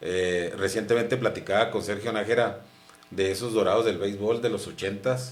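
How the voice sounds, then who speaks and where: With a northern Mexican accent, a man talks at a moderate pace in audible room echo. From northern Mexico, Chihuahua (mining town near Camargo). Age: 50s. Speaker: former footballer and sportscaster. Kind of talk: interview.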